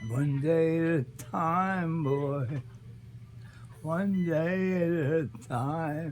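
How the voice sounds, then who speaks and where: A man with a fairly high pitch speaks at a very slow pace as music plays in the background. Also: ordinary pitch variation. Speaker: grandfather sharing life memories. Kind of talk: casual reminiscing talk to family.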